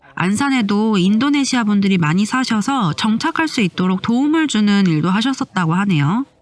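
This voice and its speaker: Over noticeable background noise, a woman with a fairly high pitch speaks at a moderate pace with hardly any pauses, lively intonation and very even loudness. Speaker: travel vlogger. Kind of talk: vlog narration voiceover. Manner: friendly conversational.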